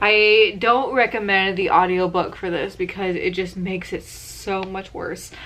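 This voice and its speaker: A woman speaks in an unremarkable speaking voice at a medium pitch and a fairly slow pace. Her intonation is fairly even, with hardly any pauses. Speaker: book reviewer. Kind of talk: casual vlog review.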